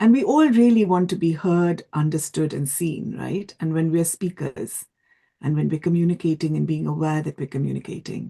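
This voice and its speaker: A woman's somewhat breathy voice with a dark, mellow tone at a moderate pace. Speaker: event jury member. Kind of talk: feedback speech. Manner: stammer.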